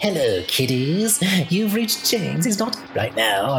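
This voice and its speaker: Over loud background noise, a man does a high-pitched put-on character voice at a moderate pace. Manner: cackling, ghoulish.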